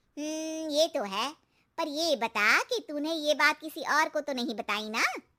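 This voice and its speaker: Using a cartoonish character voice, a woman speaks at a moderate pace with high pitch and lively intonation, the sound dry and close with no echo. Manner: knowing, cautionary.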